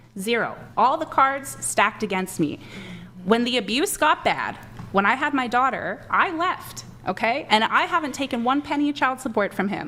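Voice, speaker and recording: Animated and high-pitched, a woman speaks at a moderate pace with very wide pitch swings. Noticeable background noise runs behind her. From Canada. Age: 20s. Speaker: men's rights advocate. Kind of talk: heated debate.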